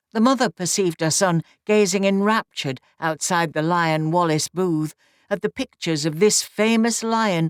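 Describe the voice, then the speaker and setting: Speaking at a moderate pace with a Nottinghamshire accent, a woman uses a medium pitch with ordinary pitch variation. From Nottinghamshire, England. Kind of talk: audiobook reading of a classic novel.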